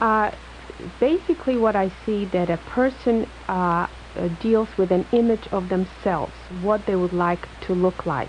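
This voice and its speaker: An Eastern European accent at a fairly slow pace, with ordinary pitch variation and noticeable background noise. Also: woman, medium pitch for a woman. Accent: foreign-sounding, Eastern European. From Poland, moved to US in high school. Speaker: plastic surgeon. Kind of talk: radio call-in interview. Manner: halting, many fillers.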